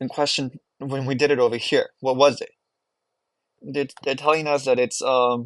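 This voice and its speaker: A man with a non-native accent speaks at a medium pitch and a moderate pace. His intonation is monotone and flat, and the sound is dry and close with no echo. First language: not English. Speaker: math teacher. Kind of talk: homework walkthrough tutorial. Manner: casual, with frequent fillers.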